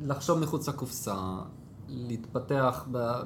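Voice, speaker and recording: A man is speaking. Room echo can be heard. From Israel, Jerusalem. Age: 20s. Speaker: DevOps team lead. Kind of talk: casual interview.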